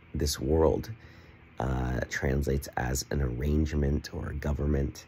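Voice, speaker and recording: A man speaks at a very slow pace in a very deep, low voice. His intonation stays fairly even over light background noise. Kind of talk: casual vlog chat. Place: home room. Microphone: phone near.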